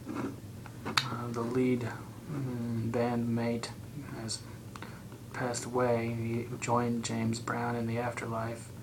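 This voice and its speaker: A soft-spoken man whispers at a very slow pace with long, frequent pauses. Noticeable background noise runs underneath. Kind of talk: ASMR roleplay. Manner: whispered, soft-spoken.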